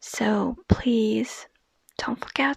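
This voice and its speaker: A woman speaks in a soft-spoken way. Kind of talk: casual talk to camera.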